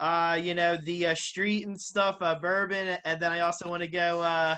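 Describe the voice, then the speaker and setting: A strong Philadelphia accent at a moderate pace. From Philadelphia, US. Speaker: boxing interviewer. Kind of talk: casual interview.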